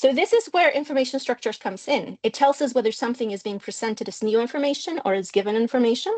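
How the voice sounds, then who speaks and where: A woman's fairly high voice with a Spanish accent and ordinary pitch variation, in a dry, close sound with no echo. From Mexico. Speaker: linguistics researcher. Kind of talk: academic lecture.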